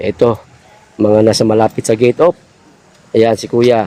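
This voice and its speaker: Flat and monotone, a man speaks at a medium pitch and moderate pace. The sound is dry and close, with no echo. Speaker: vlogger. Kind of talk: live vlog walkthrough. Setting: outdoors at night among sleeping supporters. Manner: lowered voice.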